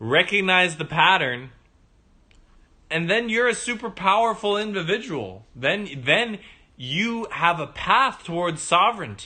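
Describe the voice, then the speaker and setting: Raising and projecting his high-pitched voice, a man talks fairly slowly with a bright, sharp, animated tone, lively intonation and big swings in loudness. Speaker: livestream host telling personal story. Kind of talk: livestream monologue. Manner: stutters at moments.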